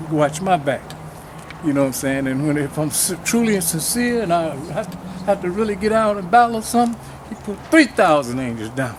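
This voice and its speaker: Noticeable background noise sits behind a man talking at a fairly quick pace with lively intonation. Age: 70s. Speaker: community elder and activist. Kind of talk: speech at a march.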